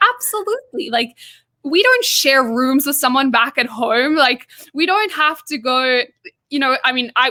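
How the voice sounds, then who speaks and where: A woman with an American accent projects a raised voice that is bright and sharp, pitched high, with ordinary pitch variation. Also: moderate pace. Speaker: interviewer. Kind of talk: interview.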